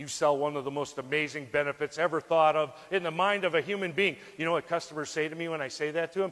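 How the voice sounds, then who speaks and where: Speaking at a very fast pace with hardly any pauses, a man uses a fairly high pitch. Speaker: life insurance sales trainer. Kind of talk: motivational speech. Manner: animated.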